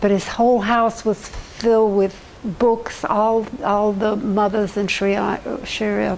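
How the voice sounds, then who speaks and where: The delivery is monotone and flat, with noticeable background noise. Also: woman. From US South. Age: 80s+. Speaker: community resident, elderly interviewee. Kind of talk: oral history interview. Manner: halting, many false starts.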